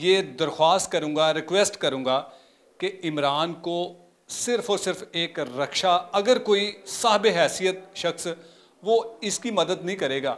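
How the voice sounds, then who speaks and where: Pausing long and often, a man talks very slowly at a high pitch with ordinary pitch variation. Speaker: channel host appealing for help. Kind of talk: interview wrap-up appeal. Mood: earnest, pleading. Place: home room. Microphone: handheld.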